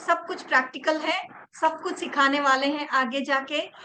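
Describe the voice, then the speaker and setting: A woman's high-pitched, raised, projected voice over noticeable background noise. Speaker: reiki teacher. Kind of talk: online class.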